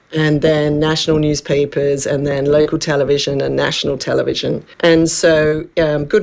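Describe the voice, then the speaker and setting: This woman has a very deep, low pitch and an Australian accent. She talks at a moderate pace with monotone, flat intonation. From Western Australia, Perth. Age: 60s. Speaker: wellness coach, former journalist and TV producer. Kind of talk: radio interview.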